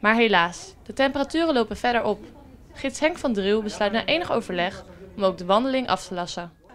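With lively intonation and a fairly quick pace, a woman talks in a normal speaking voice at a fairly high pitch. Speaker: local news reporter. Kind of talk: news reading.

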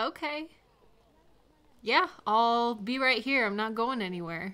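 A woman puts on a character voice at a fairly high pitch, slow and with lively intonation. Her tone is clear and smooth yet bright and sharp.

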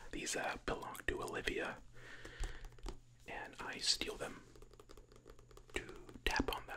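A soft-spoken man's whisper at a fairly slow pace, with long, frequent pauses and noticeable background noise. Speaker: ASMR creator. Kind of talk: soft-spoken ASMR chat. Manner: soft close-mic ASMR whisper. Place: home room. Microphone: studio mic.

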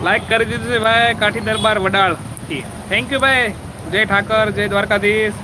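Amid noticeable background noise, a man speaks in a raised, projected voice at a high pitch. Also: ordinary pitch variation. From Gujarat, Saurashtra (village near Limbdi). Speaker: vlogger live-streaming. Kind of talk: live-stream chat reading viewer comments.

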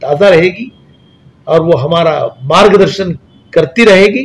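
A man's high voice carries lively intonation while he talks very slowly. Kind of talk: interview answer, tribute to a deceased scholar. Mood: solemn, respectful condolence. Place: office.

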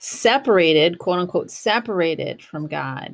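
A woman speaks at a fairly slow pace in a fairly low pitch with vocal fry. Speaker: podcast host. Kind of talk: reflective podcast monologue. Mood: calm, reflective. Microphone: studio mic.

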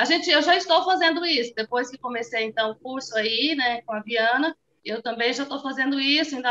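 In a raised, projected voice, a woman speaks at a moderate pace with a high pitch and a bright, sharp tone. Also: quiet background. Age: 40s. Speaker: small business owner, course student. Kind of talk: testimony. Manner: halting, many fillers. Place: home room. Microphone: phone near.

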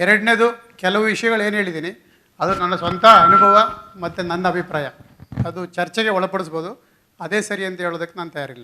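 A man speaks in a raised, projected voice with a high pitch. His intonation stays fairly even. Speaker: HR executive. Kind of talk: conference talk. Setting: stage with audience.

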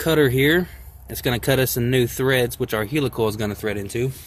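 Somewhat breathy, a man's voice has fairly even intonation and a dry sound with no echo. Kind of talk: tutorial. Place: open country.

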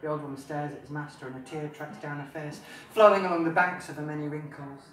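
A man talks at a fairly quick pace in a monotone, flat intonation, with light background noise and audible room echo. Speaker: author. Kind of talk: live reading of own fantasy novel. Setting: pub, live audience. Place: bar. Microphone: camera far.

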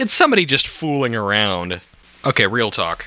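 Moderately paced male speech amid noticeable background noise. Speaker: amateur storyteller reading while drinking. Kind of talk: drunken casual reading of scary stories with commentary.

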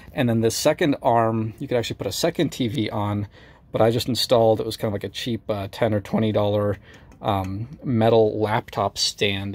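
This man has an ordinary speaking voice, fairly low in pitch, delivered at a moderate pace with ordinary pitch variation. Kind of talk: tutorial. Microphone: phone near.

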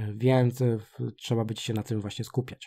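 A man with a medium-pitched, somewhat breathy voice talks at a fairly quick pace with fairly even intonation. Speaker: gaming youtuber. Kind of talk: game tutorial. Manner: fast; halting.

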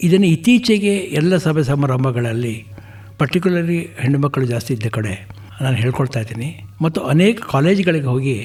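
Lively intonation marks a man's fairly high voice, heard over noticeable background noise. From Karnataka, Gundlupet (Chamarajanagar). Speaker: retired banker and social worker. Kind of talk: radio interview.

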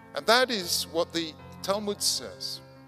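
A man keeps to a fairly slow pace, with clear music audible in the background. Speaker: conference speaker. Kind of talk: lecture. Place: hall. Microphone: podium.

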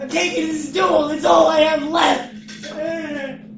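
Amid clear background noise and a slight echo, a high-pitched voice speaks at a very slow pace. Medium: comedy sketch. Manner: reluctant, sullen.

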